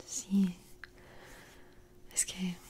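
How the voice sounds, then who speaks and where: Whispering, a woman speaks in a gentle tone. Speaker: ASMR creator. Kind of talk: soft-spoken ASMR roleplay and bedtime story. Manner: soft, gentle, hushed ASMR speech. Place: home room. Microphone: studio mic.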